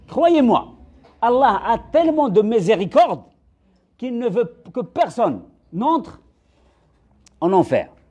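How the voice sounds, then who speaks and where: Extremely high in pitch yet dark and mellow in tone, a man speaks at a very slow pace with very wide pitch swings. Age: 60s. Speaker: religious speaker. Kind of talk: religious lecture. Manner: halting.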